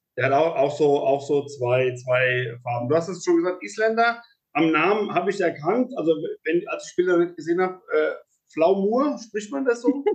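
Speaking at a moderate pace, a man uses a high pitch that swings very widely. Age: 40s. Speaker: podcast host, horse mediator. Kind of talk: interview. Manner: halting, many repetitions and fillers.

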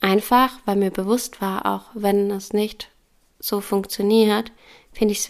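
The speech moves at a fairly slow pace with a monotone, flat intonation, captured in a very clean recording against a silent background. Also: woman. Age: 30s. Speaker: yoga teacher and podcast host. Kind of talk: personal testimony monologue.

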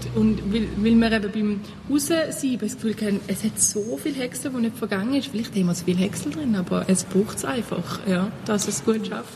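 In a Thurgau accent, the speaker moves at a moderate pace with lively intonation and hardly any pauses. Noticeable background noise is present. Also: woman, medium pitch for a woman. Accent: Thurgau Swiss German dialect. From Switzerland, Thurgau. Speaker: compost group volunteer. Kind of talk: interview.

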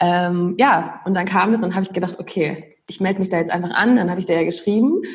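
A woman talks in a normal speaking voice with a medium pitch and fairly even intonation. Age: 20s. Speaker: aspiring virtual assistant. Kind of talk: casual interview chat.

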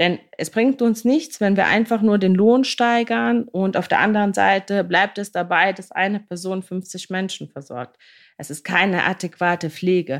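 A woman speaks at a medium pitch and a fairly slow pace, her intonation lively and her loudness swinging widely. The recording is very clean, with a silent background. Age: 30s. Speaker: podcast host, care worker. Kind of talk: podcast monologue. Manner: animated.

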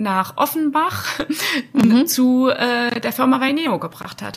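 With lively intonation, a woman speaks at a high pitch and a very slow pace amid noticeable background noise. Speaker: HR manager at a bakery. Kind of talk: interview.

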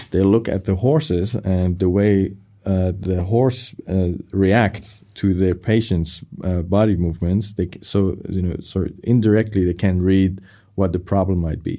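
Speaking at a fairly slow pace with a Persian accent, a man uses a very deep, low pitch, a dark and mellow tone and fairly even intonation, captured on a very clean recording against a silent background. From Iran, Tehran; moved to Germany at 12. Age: 30s. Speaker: film director. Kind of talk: interview. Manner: halting, many fillers.

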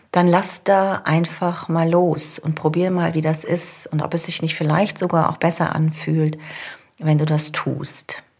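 A somewhat breathy woman's voice, fairly low in pitch, with monotone, flat intonation at a fairly slow pace. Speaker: coach and podcast host. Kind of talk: solo coaching podcast.

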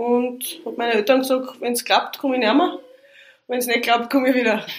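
A woman talks at a high pitch. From Austria, Styria (Liezen). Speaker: police commander. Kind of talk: casual interview.

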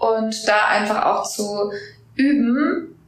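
A woman talks at a fairly high pitch. Audible room echo and noticeable background noise surround her voice. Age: 20s. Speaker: business coach and podcast host. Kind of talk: interview. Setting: voice memo recording. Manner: hesitant with many fillers.

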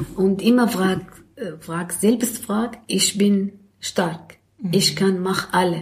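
Speaking with an Arabic accent, a woman at a medium pitch goes at a very slow pace with fairly even intonation. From Syria, Damascus. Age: 50s. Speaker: social worker and self-help group leader. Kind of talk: interview. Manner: halting.

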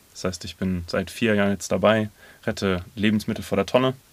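On a very clean recording with a silent background, a man speaks fairly quickly at a fairly low pitch with fairly even intonation. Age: 30s. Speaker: food-saving volunteer. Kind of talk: interview. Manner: hesitant, many fillers.

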